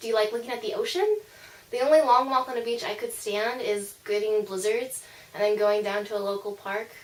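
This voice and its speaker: Against noticeable background noise, a woman talks fairly quickly in a squeaky, fairly high voice with fairly even intonation. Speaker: vlogger. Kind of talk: casual vlog monologue. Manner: casual, with filler words.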